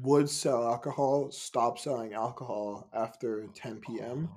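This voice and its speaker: At a very slow pace, a man talks with an American accent. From Ghana and Denmark. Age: 20s. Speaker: musician. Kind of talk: casual interview conversation. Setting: video call.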